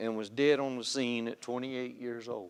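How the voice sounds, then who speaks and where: A man with a Southern US accent at a moderate pace. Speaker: lay speaker giving testimony at church. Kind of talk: testimony. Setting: church pulpit.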